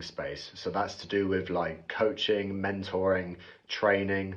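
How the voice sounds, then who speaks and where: With a British accent, a man speaks at a fairly low pitch and a fairly slow pace. Room echo is audible. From UK. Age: 20s. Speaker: bricklayer explaining online sales. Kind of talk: explainer monologue to camera.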